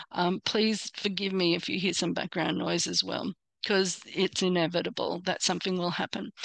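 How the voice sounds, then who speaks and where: In a dry, close sound with no echo, a woman at medium pitch speaks in a flat monotone with vocal fry. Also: moderate pace. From Australia. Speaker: personal branding coach. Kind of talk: online workshop presentation. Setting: hotel room, live online. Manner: hesitant, many fillers.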